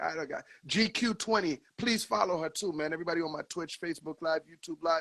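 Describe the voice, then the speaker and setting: An animated man with a Haitian accent speaks at a fairly quick pace in a high pitch, with ordinary pitch variation. His tone is bright and sharp, and the sound is dry and close with no echo. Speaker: DJ and live stream host. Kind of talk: casual interview on live stream.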